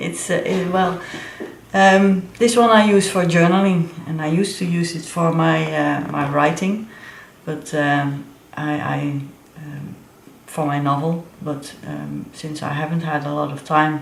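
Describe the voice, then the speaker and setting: A woman with a very deep, low pitch and ordinary pitch variation speaks at a fairly slow pace, with big swings in loudness. Noticeable background noise and audible room echo fill the recording. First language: not English. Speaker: planner and crafts vlogger. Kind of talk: show-and-tell tutorial. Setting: home studio. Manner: halting, many fillers.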